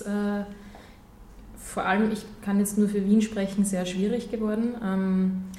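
This woman talks at a very slow pace in a medium pitch. Her voice carries audible room echo. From Austria (Gmunden, Upper Austria). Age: 20s. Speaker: nonprofit vice president. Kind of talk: radio interview.

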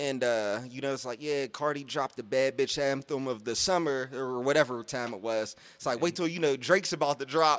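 A man with an American accent and a plain, everyday voice, medium in pitch, fairly quick with hardly any pauses and ordinary pitch variation, on a very clean recording with a silent background. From Pittsburgh, Pennsylvania. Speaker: podcast co-host. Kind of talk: casual chat.

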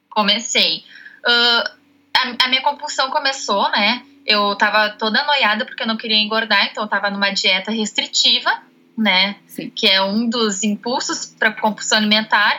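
A woman speaks at a fairly high pitch with ordinary pitch variation. Noticeable background noise is present. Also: moderate pace. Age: 20s. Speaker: nutrition student. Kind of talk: interview.

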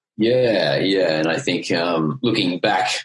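With a strong Australian accent, a man speaks in a very deep, low pitch with lively intonation. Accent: broad Australian. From Queensland, Australia. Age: 30s. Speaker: life coach. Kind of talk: casual interview chat.

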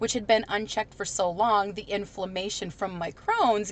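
A plain, everyday voice belongs to this woman. She talks at a moderate speed and medium pitch. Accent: American. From US Midwest. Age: 30s. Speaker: chronic illness patient and former DJ. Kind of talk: casual interview.

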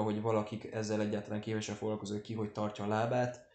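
A very fast-talking man with a dark, mellow tone and a fairly low pitch. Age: 20s. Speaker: podcast host. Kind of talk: casual chat. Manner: hesitant with many fillers.

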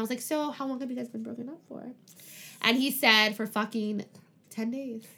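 A woman speaks with a fairly high pitch and a bright, sharp tone. Her intonation stays fairly even. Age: 20s. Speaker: podcast host. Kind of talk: casual chat.

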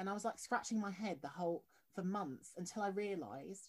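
Her pitch sits at a medium level with ordinary variation, and she speaks at a fairly quick pace. The woman's voice is somewhat breathy. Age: 20s. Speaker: podcast host. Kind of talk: interview.

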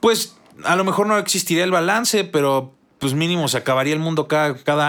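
Speaking at a fairly quick pace with a Mexican accent, a man with a fairly high pitch uses lively intonation. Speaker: gaming podcast co-host. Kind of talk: casual chat.

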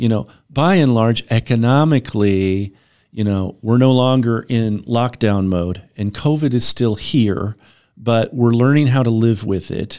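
An ordinary speaking voice from a man, medium in pitch with ordinary pitch variation, fairly slow, on a very clean recording with a silent background. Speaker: financial advisor. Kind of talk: casual business discussion. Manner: conversational, hedging with fillers.

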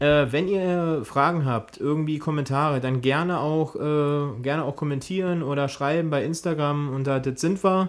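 A moderate pace on a very clean recording, silent background. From eastern Germany. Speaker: podcast host. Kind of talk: casual chat.

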